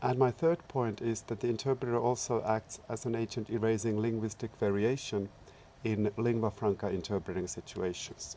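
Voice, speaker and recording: A dark, mellow tone with a Finnish accent, fairly even intonation and a moderate pace. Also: man, medium pitch for a man. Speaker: researcher and public service interpreter. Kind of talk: short talk. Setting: seminar.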